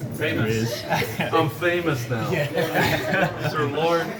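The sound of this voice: Clear background noise sits behind a man with a fairly high pitch. He talks at a very slow pace with ordinary pitch variation.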